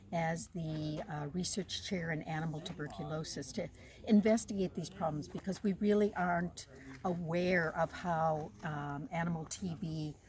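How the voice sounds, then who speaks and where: A woman speaks in a somewhat breathy voice with an American accent. Her pitch is fairly low and its variation ordinary. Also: moderate pace. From United States. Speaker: wildlife veterinarian and researcher. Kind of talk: interview. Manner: hesitant, many fillers.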